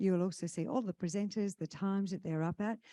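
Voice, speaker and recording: With an Australian accent, a woman talks at a fairly quick pace in a fairly low pitch and a dark, mellow tone, the sound dry and close with no echo. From Western Australia, Kalgoorlie. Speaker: conference emcee. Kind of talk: event hosting announcements. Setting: stage with audience at conference.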